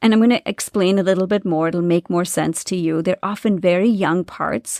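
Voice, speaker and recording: In a very clean recording with a silent background, the sound is dry and close with no echo. A woman speaks at medium pitch and a fairly quick pace with fairly even intonation. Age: 40s. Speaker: spiritual business coach and podcast host. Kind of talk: solo podcast monologue. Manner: halting, with stumbles.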